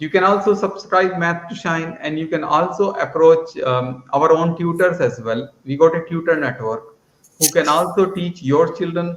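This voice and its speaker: The speaker has an Indian accent, moves at a moderate pace, and uses ordinary pitch variation. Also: man, high pitch for a man. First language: Hindi. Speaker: math education entrepreneur. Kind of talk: conference presentation.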